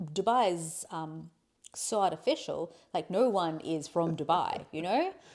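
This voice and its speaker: A woman speaks with an Australian accent at a fairly slow pace. Her pitch varies in an ordinary way. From Australia, Adelaide. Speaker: podcast guest, host's wife. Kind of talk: casual conversation. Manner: halting, with many restarts.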